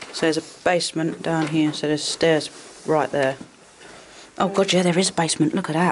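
The speech moves at a moderate pace, broken by long, frequent pauses. Light background noise is audible. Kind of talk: casual vlog chat. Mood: curious, slightly tense. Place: empty room. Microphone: phone near.

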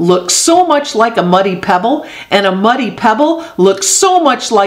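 Someone does plain reading aloud here.

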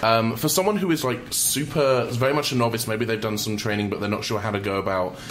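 The voice shows ordinary pitch variation. Noticeable background noise runs underneath. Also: man. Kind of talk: casual chat. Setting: radio studio.

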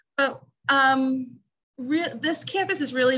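The woman's voice is high in pitch with a bright, sharp tone. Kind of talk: casual chat.

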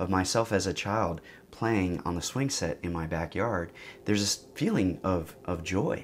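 A man's very deep, low voice at a moderate pace, with ordinary pitch variation and light background noise. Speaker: psychedelic therapy educator. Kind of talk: explanatory talk to camera. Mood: calm, reflective. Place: studio.

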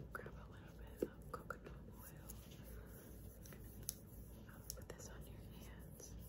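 With long, frequent pauses, a woman talks very slowly. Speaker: ASMR creator. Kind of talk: ASMR personal attention roleplay. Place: home room.

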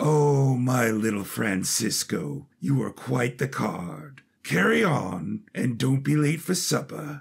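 A man's put-on character voice, raspy and at a medium pitch, with very wide pitch swings, very even loudness, a fairly slow pace and hardly any pauses. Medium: audio drama. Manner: genial, casually menacing.

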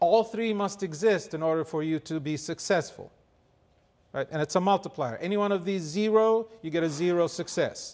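A man speaks at a moderate pace in a high voice, with ordinary pitch variation. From Kuwait. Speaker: nonprofit co-founder and mentor. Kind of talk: motivational talk. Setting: stage with audience. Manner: conversational, engaging audience. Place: hall. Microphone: handheld.

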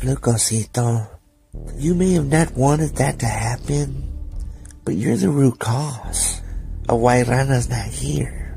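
A man's put-on character voice, calm and menacing, medium in pitch and fairly slow, with faint music in the background. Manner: calm, menacing.

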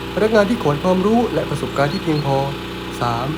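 A man talks over noticeable background noise. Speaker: voice actor. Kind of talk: educational narration.

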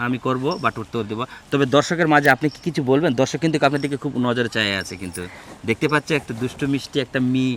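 A man with a plain, everyday voice, a medium pitch, and ordinary pitch variation. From Bangladesh, Naogaon. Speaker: street quiz show host. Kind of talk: street quiz interview.

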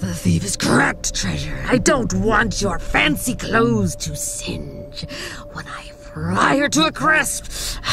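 A woman uses a put-on character voice at a fairly slow pace. Clear music sounds in the background. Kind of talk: dramatic fantasy audio roleplay. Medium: audio drama. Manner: haughty, menacing, contemptuous.

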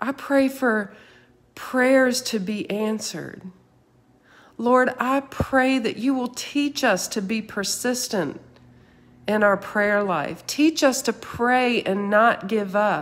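Very slowly, a woman speaks with a warm tone, fairly high pitch and ordinary pitch variation. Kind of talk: fervent intercessory prayer, spoken aloud to God after a teaching. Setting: online video, speaking to live viewers. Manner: earnest, pleading, impassioned; conversational, warm, informal. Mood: earnest, fervent. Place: home room. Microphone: phone near.

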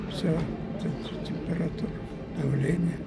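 A man is speaking. Loud music plays behind him. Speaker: actor. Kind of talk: interview answer. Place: hall. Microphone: phone near.

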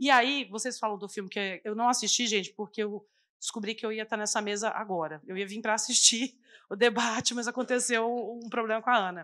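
A woman speaks with a bright, sharp tone. Her intonation stays fairly even. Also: fairly high pitch for a woman, fairly quick pace, quiet background. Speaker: community kitchen coordinator; panelist. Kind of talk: panel debate. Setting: stage with live audience. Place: stage. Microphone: handheld.

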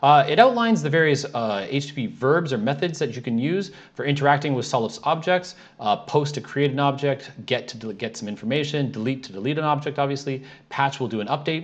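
At a fairly quick pace, a man speaks with lively intonation. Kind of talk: tutorial.

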